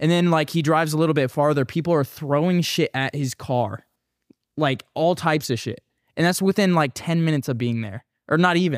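Recorded very clean against a silent background, dry and close with no echo, a man with an ordinary speaking voice talks at a fairly quick pace, his pitch fairly high with ordinary pitch variation. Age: 20s. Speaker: YouTuber. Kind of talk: casual chat.

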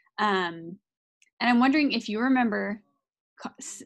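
A woman with an American accent and a plain, everyday voice talks at a moderate pace with ordinary pitch variation over a quiet background. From Idaho, US. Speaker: parenting podcast co-host. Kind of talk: casual interview. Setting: recording studio.

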